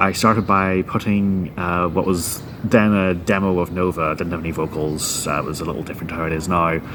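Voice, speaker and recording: A very deep, low-pitched man with a Northern Irish accent and fairly even intonation, amid noticeable background noise. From Northern Ireland. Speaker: guitarist and band founder. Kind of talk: interview.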